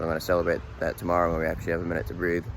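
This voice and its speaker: With a Boston accent, a man speaks in a relaxed tone. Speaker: vlogger, monster truck crew member. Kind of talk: casual vlog talk to camera. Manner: casual, relaxed.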